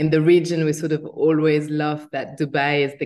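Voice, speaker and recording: In a French accent, a woman talks at a very deep, low pitch with fairly even intonation. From France. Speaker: agency founder. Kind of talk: interview.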